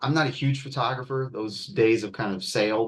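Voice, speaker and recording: A man speaks at a fairly quick pace in a plain, everyday voice, medium in pitch, with lively intonation. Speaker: art and design instructor. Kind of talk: class tutorial demo.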